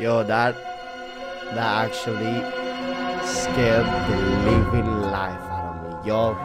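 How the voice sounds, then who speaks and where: Over loud background music, a man speaks at a very slow pace with ordinary pitch variation. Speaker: gaming video creator. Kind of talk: casual gameplay commentary. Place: home room. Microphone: headset.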